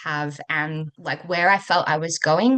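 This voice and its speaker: A woman with an Australian accent, fairly low pitch, bright, sharp tone, fairly slow pace and ordinary pitch variation against a quiet background. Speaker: coach for working mothers. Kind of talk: interview.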